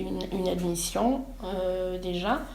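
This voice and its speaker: Amid noticeable background noise and audible room echo, a woman speaks at medium pitch and a very slow pace. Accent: Burundian. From Burundi. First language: Kirundi (speaking French). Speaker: student, asylum seeker. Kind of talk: interview. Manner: halting, many hesitations.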